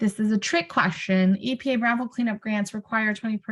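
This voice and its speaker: Somewhat breathy, a woman with an American accent talks at a fairly quick pace. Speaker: brownfields technical assistance presenter. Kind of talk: webinar presentation. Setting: video call webinar.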